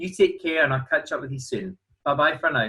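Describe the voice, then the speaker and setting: A man with a Glasgow accent. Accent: Glasgow Scottish. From Scotland, Glasgow. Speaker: cruise line sales representative. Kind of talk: sales presentation.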